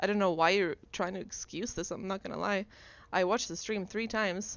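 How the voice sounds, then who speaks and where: At a moderate pace and medium pitch, a woman speaks in a monotone, flat way. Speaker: gaming community member raising a complaint. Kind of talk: heated debate. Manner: loud, raised voice.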